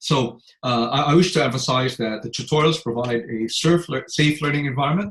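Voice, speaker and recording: This man's voice is somewhat breathy, fairly high in pitch, with ordinary pitch variation. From Asia. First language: not English. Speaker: law lecturer. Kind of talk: online tutorial. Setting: video call. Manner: fast; halting, many fillers and repeats.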